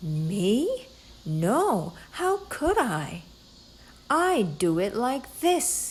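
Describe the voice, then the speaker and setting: Using a put-on character voice, a woman speaks at a fairly high pitch and a very slow pace with long, frequent pauses. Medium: read story.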